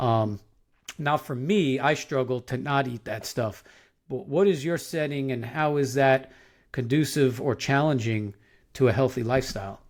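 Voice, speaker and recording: Speaking at a moderate pace in a New York accent, a man with a medium-pitched voice shows ordinary pitch variation on a very clean recording with a silent background. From Long Island, New York. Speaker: podcast host, professor. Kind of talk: casual interview chat.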